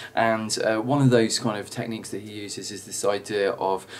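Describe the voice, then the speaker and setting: Noticeable background noise sits under a man speaking with fairly even intonation. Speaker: drama teacher. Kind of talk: tutorial. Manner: fast; halting, many fillers.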